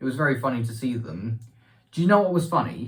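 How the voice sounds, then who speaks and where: A man with a British accent, somewhat breathy and at a medium pitch, speaks with lively intonation amid audible room echo. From UK. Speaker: vlogger. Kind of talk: casual vlog. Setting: bathroom. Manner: halting.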